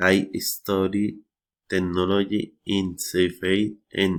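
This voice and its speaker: With a Spanish accent, a man speaks in a very deep, low pitch and a monotone, flat intonation. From Colombia. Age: 30s. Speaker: English learner. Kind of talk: reading aloud. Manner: halting.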